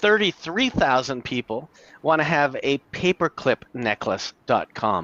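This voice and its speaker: Heard in a dry, close sound with no echo, a man with a fairly high pitch and a bright, sharp tone speaks at a fairly slow pace, his vocal fry showing through very wide pitch swings. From Canada. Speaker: domain name investor. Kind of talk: casual chat.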